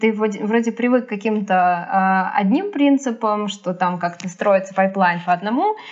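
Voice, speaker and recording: A woman talks at a moderate pace in an unremarkable speaking voice, medium in pitch with ordinary pitch variation. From Sergiev Posad, Moscow region, Russia. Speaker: animator and animation teacher. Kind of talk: casual chat.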